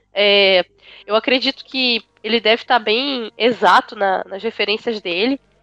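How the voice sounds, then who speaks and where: A woman speaks at a fairly slow pace in a fairly high voice with a bright, sharp tone. Her intonation stays fairly even, and the sound is dry and close with no echo. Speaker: podcast panelist, university student. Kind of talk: casual chat.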